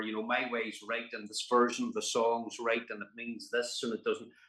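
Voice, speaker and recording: With a Northern Irish accent, a man speaks at medium pitch and a moderate pace. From Belfast, Northern Ireland. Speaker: actor, musician, storyteller. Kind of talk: interview answer.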